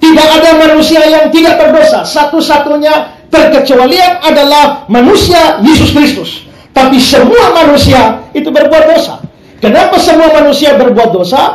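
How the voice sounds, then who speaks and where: The voice moves at a moderate pace with audible room echo and light background noise. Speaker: pastor preaching. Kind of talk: sermon. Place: church.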